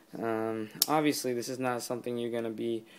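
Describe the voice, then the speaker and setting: In a very clean recording with a silent background, a man speaks quietly at a fairly quick pace with a medium pitch. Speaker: knife reviewer. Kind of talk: product review. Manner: hesitant, many fillers.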